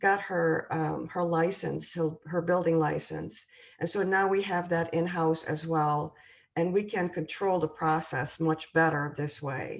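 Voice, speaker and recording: Against a quiet background, a woman with a European accent talks at a fairly slow pace, her fairly low voice keeping a fairly even intonation. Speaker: home building sales representative. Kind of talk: presentation. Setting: video call. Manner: hesitant, many filler sounds.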